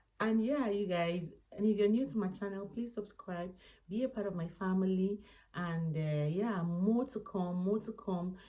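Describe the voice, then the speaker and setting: A soft-spoken woman talks in a dark, mellow tone with ordinary pitch variation. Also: medium pitch for a woman, moderate pace. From Nigeria. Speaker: lifestyle vlogger. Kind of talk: casual vlog monologue. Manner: soft-spoken, lowered voice.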